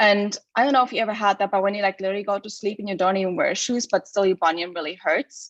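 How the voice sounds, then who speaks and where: A woman with a German accent speaks at a medium pitch with fairly even intonation, the sound dry and close with no echo. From Germany. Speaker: shoe company co-founder. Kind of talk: casual chat. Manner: hesitant, many fillers.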